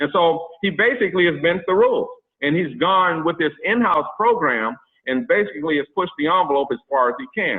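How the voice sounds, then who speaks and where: A man's high-pitched, animated voice with lively intonation. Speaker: mortgage specialist. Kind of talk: presentation. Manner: fast.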